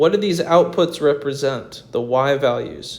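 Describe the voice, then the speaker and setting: An unremarkable speaking voice at a fairly slow pace. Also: man. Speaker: math teacher. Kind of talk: tutorial. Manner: casual.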